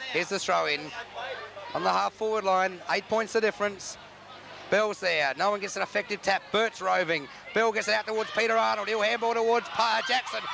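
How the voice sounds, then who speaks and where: In an Australian accent, the speaker uses a raised, projected voice at a fairly quick pace. Pitch varies in an ordinary way, and background noise is noticeable. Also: man, high pitch for a man. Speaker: football commentator. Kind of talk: live commentary. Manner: animated.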